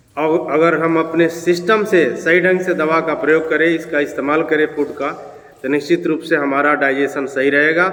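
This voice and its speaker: Amid noticeable background noise and audible room echo, a man speaks at a moderate pace in a fairly high voice with monotone, flat intonation. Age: 60s. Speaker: health tips vlogger. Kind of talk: informal health talk to camera.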